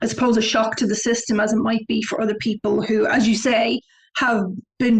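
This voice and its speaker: Her accent is a Dublin accent, and her pitch is fairly high for a woman. She keeps her intonation fairly even. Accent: Irish (Dublin). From Ireland, Dublin; early childhood in southern Africa. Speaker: travel website founder. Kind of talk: interview.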